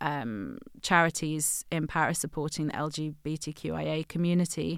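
A woman with an ordinary speaking voice, fairly low pitch and a moderate pace, in a very clean recording with a silent background. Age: 30s. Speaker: designer and brand founder. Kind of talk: interview conversation.

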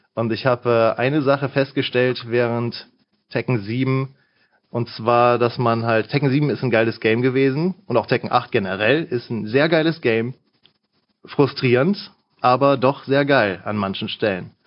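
A man with a normal speaking voice talks at a moderate pace in a medium pitch, with ordinary pitch variation. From Lower Rhine, western Germany (Mönchengladbach area). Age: 20s. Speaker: gamer, fighting game player. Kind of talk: casual interview chat.

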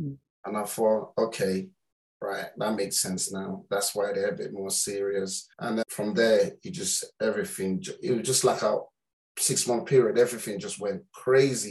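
With a London accent, a man speaks at a moderate pace using lively intonation. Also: medium pitch for a man. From London, Islington. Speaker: football parent. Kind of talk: interview storytelling.

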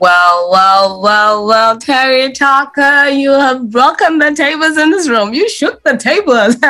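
Raised and projected, the voice moves at a fairly slow pace with hardly any pauses, very wide pitch swings and very even loudness. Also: woman, high pitch for a woman. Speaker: podcast host. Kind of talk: interview, upbeat podcast hosting. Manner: animated, enthusiastic.

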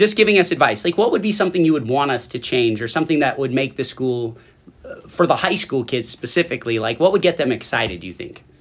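Over noticeable background noise, a man speaks at a very fast pace and a fairly high pitch with very wide pitch swings. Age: 40s. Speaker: school podcast host, staff member. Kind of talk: casual chat.

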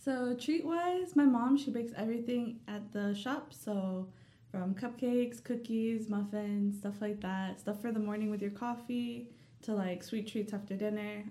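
With an American accent, a woman speaks fairly slowly at a fairly high pitch and ordinary pitch variation, amid noticeable background noise and audible room echo. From US South, Dalton, Georgia. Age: young. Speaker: small business owner. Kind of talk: interview.

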